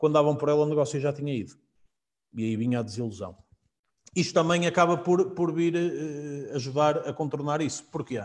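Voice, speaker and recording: A man talks fairly quickly. His voice sits fairly high and varies in pitch in an ordinary way. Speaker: real estate agent. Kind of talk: live-streamed casual panel chat. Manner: halting, repeats words.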